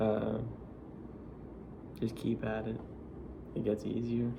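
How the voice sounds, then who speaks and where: A man's relaxed, monotone voice at medium pitch, with flat intonation, an American accent and audible room echo. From Florida. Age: 20s. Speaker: vlogger. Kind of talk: casual vlog monologue. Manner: relaxed, filler-heavy casual speech.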